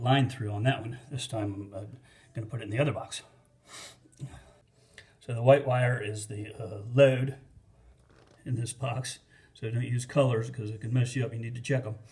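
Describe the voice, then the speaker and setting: A man's voice at medium pitch, somewhat breathy. He speaks in a flat monotone with long, frequent pauses. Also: moderate pace. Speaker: DIY home installer, not an electrician. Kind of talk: casual how-to tutorial. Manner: hesitant, many fillers.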